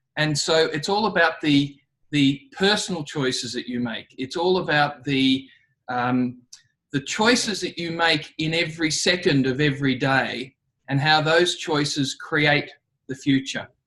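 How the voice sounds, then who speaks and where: In an Australian accent, a man speaks at a fairly slow pace, his fairly high pitch varying in an ordinary way and his tone bright and sharp. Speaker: leadership trainer. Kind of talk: talk to students.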